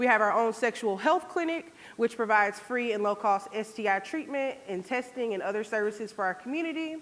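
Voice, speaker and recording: A woman talks at a fairly quick pace with hardly any pauses, in a slight Southern Georgia accent. Her pitch is fairly high and her intonation lively. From US South, Georgia. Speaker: public health program manager. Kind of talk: conference presentation. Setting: stage with audience.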